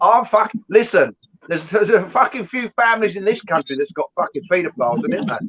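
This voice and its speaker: A man with a high voice, very fast and animated, with lively intonation and a dry, close sound with no echo. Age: 60s. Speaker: live stream host. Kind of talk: casual chat. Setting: live stream.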